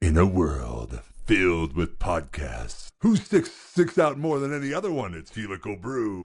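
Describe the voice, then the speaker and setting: A man puts on a character voice, fairly low in pitch, at a moderate pace. The background is quiet. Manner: dramatic, powerful.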